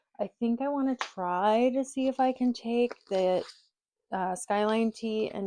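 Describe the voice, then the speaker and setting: The voice shows ordinary pitch variation. The sound is dry and close with no echo, over a quiet background. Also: woman. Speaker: sewing YouTuber and sewing teacher. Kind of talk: casual vlog talk to camera.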